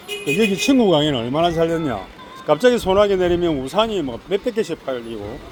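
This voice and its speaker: Over noticeable background noise, the speaker talks at a fairly quick pace with very wide pitch swings. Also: man, high pitch for a man. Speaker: YouTuber. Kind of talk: walking vlog commentary. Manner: casual, conversational.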